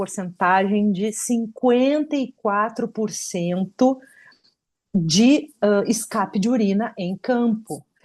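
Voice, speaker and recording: A woman speaks at a medium pitch with ordinary pitch variation. Her pace is very slow, against a quiet background. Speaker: doctor giving a talk on women's health in rugby. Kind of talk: online talk with slides.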